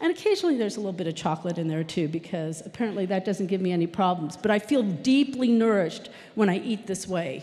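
Her pitch swings very widely as the woman speaks at a fairly quick pace. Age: 50s. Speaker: software developer; conference speaker. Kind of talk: conference talk. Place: stage. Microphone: handheld.

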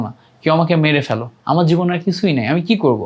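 A man speaks at a high pitch. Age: 20s. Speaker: YouTube educator, university student. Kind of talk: vlog monologue, career advice.

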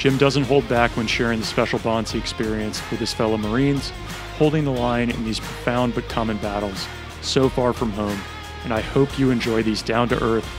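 Clear music sounds in the background while a man talks at a moderate pace. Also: dry sound with no echo. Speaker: podcast host. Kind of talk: scripted intro then interview questions. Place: home room. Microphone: studio mic.

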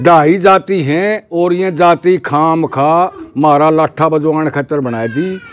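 Very slow in pace, a man speaks with fairly even intonation. His pitch is fairly high. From Haryana, Jind district; Haryana, India. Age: 70s. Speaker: village elder; interviewee. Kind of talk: interview. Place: open country. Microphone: lapel.

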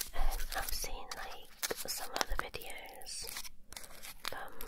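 A woman whispers in a soft-spoken voice. Loud background noise is heard behind her. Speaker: ASMR creator. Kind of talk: soft-spoken ASMR chat. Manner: soft whisper while unwrapping candy. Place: home room. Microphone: handheld.

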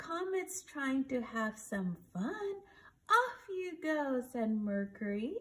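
A sing-song woman's voice, high-pitched, with very wide pitch swings, a warm, gentle tone and a very slow pace. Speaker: reader of a bedtime story. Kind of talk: bedtime story read aloud from a picture book. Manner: gentle, sing-song, animated storyteller pitched at small children. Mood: gentle, soothing storytelling. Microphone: phone near.

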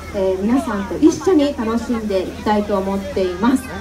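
A woman speaks with crowd noise in the background. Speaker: event host. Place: stage. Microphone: pa.

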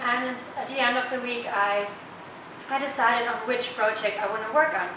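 This woman has a high pitch, ordinary pitch variation, and a moderate pace. Audible room echo and noticeable background noise fill the recording. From Germany. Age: 20s. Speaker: student intern. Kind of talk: testimonial.

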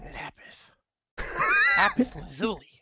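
Shouting in a put-on character voice, a man uses a high pitch.

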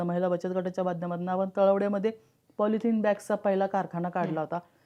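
Fairly even intonation runs through an unremarkable speaking voice. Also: woman. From Pimpri-Chinchwad, Pune, Maharashtra. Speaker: politician. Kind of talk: interview. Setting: studio.

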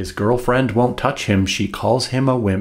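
A somewhat breathy man at a fairly slow pace, against a quiet background. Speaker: author. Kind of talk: humorous rhyming book reading. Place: home room.

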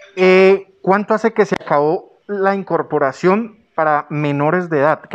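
Here a man is talking, with ordinary pitch variation. The background is quiet. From Colombia. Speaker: news channel host, interviewer. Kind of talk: interview. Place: office. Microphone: handheld.

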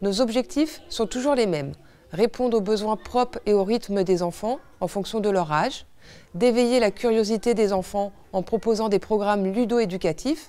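Dark and mellow in tone, a woman's voice sits fairly high in pitch. She keeps a moderate pace with ordinary pitch variation. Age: 30s. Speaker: director of an after-school childcare service. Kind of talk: scripted presentation. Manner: formal.

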